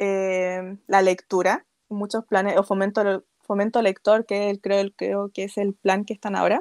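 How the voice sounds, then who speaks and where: A woman at a medium pitch, in a dry, close sound with no echo, on a very clean recording with a silent background. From Chile. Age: 20s. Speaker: author and illustrator. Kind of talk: interview.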